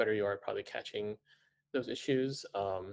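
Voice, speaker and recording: A man speaks at a moderate pace with a Cantonese accent. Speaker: manga editor. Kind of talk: panel discussion. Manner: hesitant, many fillers.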